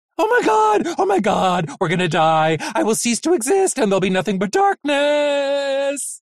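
This is a put-on character voice, fairly high-pitched, raised and projected, with very wide pitch swings. It moves at a moderate pace with hardly any pauses. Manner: panicky, whimpering, frantic.

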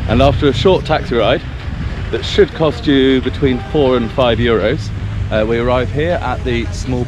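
A man at a moderate pace, clear music in the background, dry sound with no echo. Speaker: travel guide for a sailing base. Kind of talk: casual vlog chat. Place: street. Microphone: phone near.

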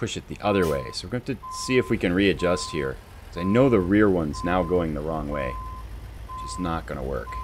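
With faint music in the background, a man with an American accent and a very deep, low pitch talks at a fairly quick pace, his pitch swinging very widely. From eastern US. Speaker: gaming YouTuber; gaming streamer. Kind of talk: let's play commentary; gameplay commentary. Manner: relaxed, conversational with fillers.

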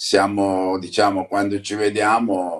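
The speaker is a man with a fairly low pitch. The background is quiet. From Apulia, southern Italy (Canosa di Puglia); Apulia, Italy. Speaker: football club president. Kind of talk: interview. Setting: remote video link. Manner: halting. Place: home room. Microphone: phone near.

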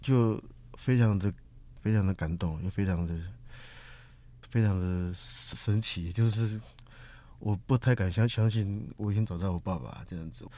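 Speaking in a Taiwanese accent, a man with a fairly low pitch and a dark, mellow tone talks at a fairly slow pace with long, frequent pauses. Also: ordinary pitch variation. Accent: Taiwanese-accented Mandarin. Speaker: Amerasian who found his father. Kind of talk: interview. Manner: halting, repeats words.

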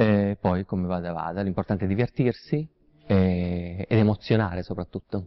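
Very deep and low, a man's voice moves at a moderate pace with ordinary pitch variation. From Calabria, southern Italy. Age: 30s. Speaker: showman, impersonator and singer. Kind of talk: talent show contestant interview. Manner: halting, with fillers. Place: studio.

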